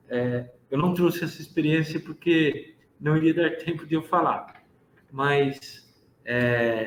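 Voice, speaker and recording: This man's voice sits fairly high and sounds somewhat breathy. He speaks at a fairly slow pace with fairly even intonation. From interior of São Paulo state, Brazil. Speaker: pharmacist. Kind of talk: lecture.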